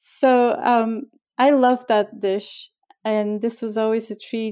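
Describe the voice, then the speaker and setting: In a Bulgarian accent, a woman speaks at a very slow pace with a fairly high pitch, fairly even intonation and a dark, mellow tone, on a very clean recording with a silent background. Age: 50s. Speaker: chef and cookbook author. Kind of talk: interview.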